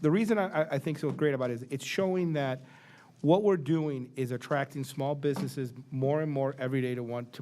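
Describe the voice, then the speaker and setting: Talking at a very fast pace, a man keeps a medium pitch and ordinary pitch variation. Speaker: board chairman. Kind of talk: board meeting remarks. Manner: halting with restarts.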